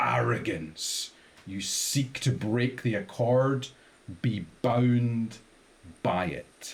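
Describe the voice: A man's gravelly, put-on character voice at medium pitch, very slow, with lively intonation and long, frequent pauses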